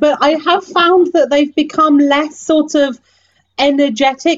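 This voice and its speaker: A woman speaks with a British accent. Her voice sits high in pitch. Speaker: podcast host, tour guide.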